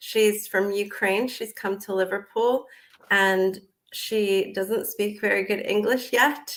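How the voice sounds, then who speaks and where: Her American accent clear, a woman at medium pitch speaks at a very slow pace with fairly even intonation. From United States. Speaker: business owner and psychologist. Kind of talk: interview.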